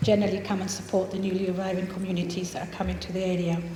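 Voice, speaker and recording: A woman with a slight Scottish accent, audible room echo and noticeable background noise. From Scotland (Fife), refugee from Chile as a child. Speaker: charity founder. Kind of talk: public presentation. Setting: venue with live audience. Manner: halting with many fillers.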